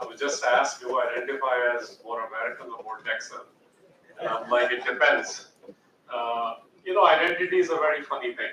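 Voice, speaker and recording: A man talks fairly quickly with an Indian accent. His loudness swings widely. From India (Jhansi, Uttar Pradesh), then US from age 12. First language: Hindi. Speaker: educator and author. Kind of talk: guest talk.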